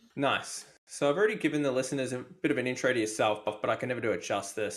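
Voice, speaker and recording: A man speaking very fast with an Australian accent and fairly even intonation. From Australia, Melbourne. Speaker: podcast host. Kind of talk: podcast interview.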